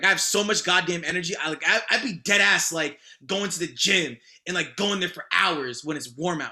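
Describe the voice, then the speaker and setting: A man speaks in a high pitch at a fairly quick pace. His tone is bright, sharp and animated. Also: ordinary pitch variation. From Boston area, Massachusetts. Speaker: rapper. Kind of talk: casual chat.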